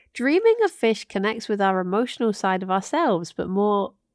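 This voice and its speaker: On a very clean recording with a silent background and a dry, close sound with no echo, a woman with a normal speaking voice and a medium pitch talks at a moderate pace with lively intonation. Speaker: podcast co-host. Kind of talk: casual chat.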